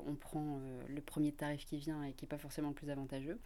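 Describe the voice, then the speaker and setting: A woman's dark, mellow voice at a fairly quick pace in a very clean recording with a silent background. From northern France, Lille area. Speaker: corporate social intrapreneur. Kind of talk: interview.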